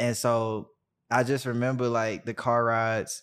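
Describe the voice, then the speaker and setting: A man talks at a medium pitch with monotone, flat intonation. The recording is very clean, with a silent background. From US South, Birmingham, Alabama. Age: 20s. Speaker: artist manager. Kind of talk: casual interview.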